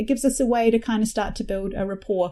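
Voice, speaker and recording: Against a quiet background, a woman with a New Zealand accent talks very fast in a fairly high, dark, mellow voice. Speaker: facilitator and business founder. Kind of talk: interview conversation.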